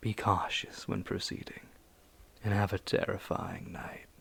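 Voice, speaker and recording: A man whispers. He speaks at a very slow pace. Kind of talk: casual talk to camera.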